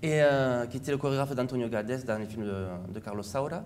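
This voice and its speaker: In a southern French accent, a man speaks at a fairly quick pace with ordinary pitch variation, and audible room echo surrounds his voice. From southern France, Montpellier. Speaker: flamenco dancer. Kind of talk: interview.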